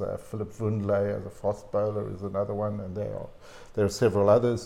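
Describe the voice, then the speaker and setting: Very fast and somewhat breathy, a man talks at a medium pitch in a dark, mellow tone. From South Africa. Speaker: cricket writer and historian. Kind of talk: interview conversation. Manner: halting.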